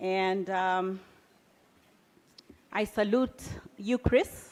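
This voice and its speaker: In a Kenyan accent, a woman speaks at a medium pitch with fairly even intonation. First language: Kikuyu. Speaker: business founder and CEO. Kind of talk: keynote speech.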